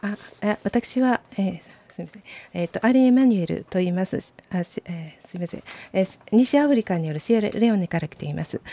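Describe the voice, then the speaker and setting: A woman talks in a dark, mellow tone, her loudness swinging widely and her pitch varying in an ordinary way. The sound is dry with no echo. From Japan. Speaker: interpreter and training coordinator. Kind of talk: consecutive interpreting. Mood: hesitant, polite. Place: studio. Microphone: studio mic.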